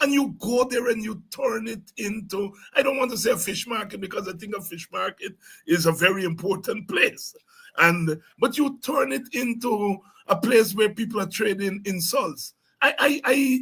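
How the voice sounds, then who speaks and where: Projecting a raised voice with a bright, sharp tone, a man speaks at a moderate pace with high pitch and lively intonation. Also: big swings in loudness. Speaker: politician. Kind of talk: interview. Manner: loud; halting.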